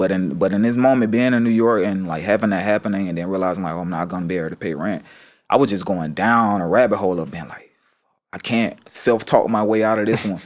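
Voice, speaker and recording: In a very clean recording with a silent background, a man with a Southern US accent talks at a very fast pace in a fairly low pitch. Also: ordinary pitch variation. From US South. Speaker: painter. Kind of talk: casual chat. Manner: animated storytelling.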